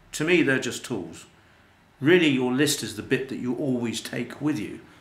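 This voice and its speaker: A man speaks at a moderate pace, medium in pitch, with ordinary pitch variation. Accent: British. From UK. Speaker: life coach and internet marketer. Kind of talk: promotional talk to camera. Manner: casual, hesitant with fillers.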